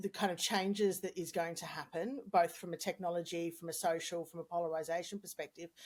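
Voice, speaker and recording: In an Australian accent, a woman speaks at a fairly low pitch. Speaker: communications consultant. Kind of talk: podcast interview. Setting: podcast recording.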